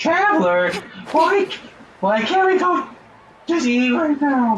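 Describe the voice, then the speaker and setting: A put-on character voice, high-pitched and whiny, with very wide pitch swings and a fairly slow pace. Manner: whiny, annoying.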